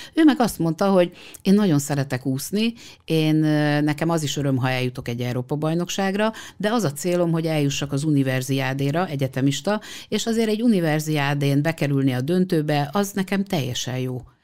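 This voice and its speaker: This woman's voice is very deep and low, with a dark, mellow tone. She speaks at a fairly quick pace with lively intonation. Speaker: sports psychologist. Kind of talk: interview.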